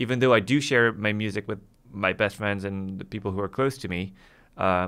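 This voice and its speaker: A man with a French accent speaks at a fairly low pitch in a bright, sharp tone, recorded very cleanly against a silent background. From France. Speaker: music podcast co-host. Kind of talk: casual chat.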